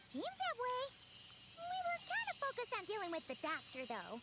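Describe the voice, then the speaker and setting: An extremely high-pitched put-on character voice at a moderate pace, over loud background noise. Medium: video game. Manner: casual, wry.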